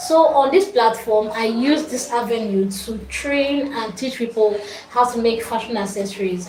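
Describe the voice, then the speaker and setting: With a Nigerian accent, a woman speaks at a fairly slow pace in a fairly high pitch with ordinary pitch variation, amid audible room echo and noticeable background noise. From Nigeria, Kogi State. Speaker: fashion accessories maker and craft teacher. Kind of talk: livestream talk to viewers. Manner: halting, many fillers.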